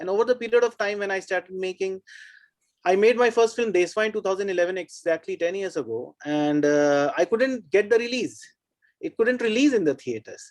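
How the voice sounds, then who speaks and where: The speaker has a Bihar accent. The pace is fairly quick. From India, Bihar (Buxar, Dumraon). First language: Bhojpuri. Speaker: film maker. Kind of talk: panel discussion. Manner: halting, many fillers.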